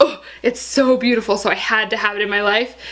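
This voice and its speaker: Over noticeable background noise, a woman with an American accent speaks at a fairly high pitch. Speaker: beauty YouTuber. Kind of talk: casual product review vlog. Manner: fast; animated.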